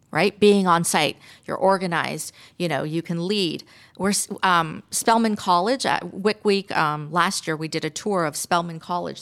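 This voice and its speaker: At a moderate pace, a woman with fairly low pitch and ordinary pitch variation speaks in a normal speaking voice on a very clean recording with a silent background. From Canada. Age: 50s. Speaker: architect and construction manager. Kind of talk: radio interview. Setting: studio.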